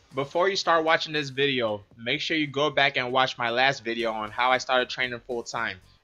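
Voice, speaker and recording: Someone talks at a very fast pace with music playing in the background. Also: man. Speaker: mixed martial arts fighter. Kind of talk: storytelling vlog narration. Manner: deadpan.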